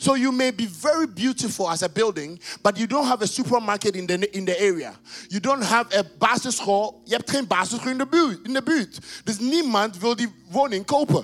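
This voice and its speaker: Over noticeable background noise, a man with a high pitch talks at a fairly quick pace in an animated tone with lively intonation. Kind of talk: sermon. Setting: church with congregation. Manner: animated, call-and-response, exhorting the congregation to shout; loud, rhythmic, repeating phrases for emphasis.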